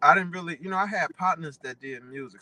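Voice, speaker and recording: This man speaks with a bright, sharp tone and ordinary pitch variation, recorded dry and close with no echo. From Dayton, Ohio. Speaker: rapper. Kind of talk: radio interview. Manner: casual, hesitant with fillers.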